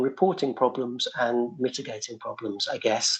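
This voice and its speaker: A man speaks at a fairly slow pace with a fairly high pitch. His intonation is lively. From UK. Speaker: researcher presenting to city agencies. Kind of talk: meeting presentation. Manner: halting, many repetitions and fillers.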